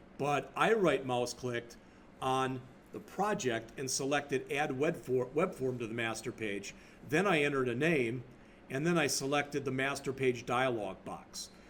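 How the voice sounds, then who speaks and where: A man's medium-pitched voice comes through with audible echo from the room. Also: ordinary pitch variation, moderate pace. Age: 60s. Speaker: college instructor. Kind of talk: lecture. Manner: casual, off the cuff.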